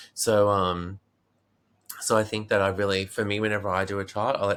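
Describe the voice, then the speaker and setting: A man with an Australian accent speaks at a moderate pace in a fairly low voice. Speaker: meditation teacher and Vedic astrologer. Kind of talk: interview answer.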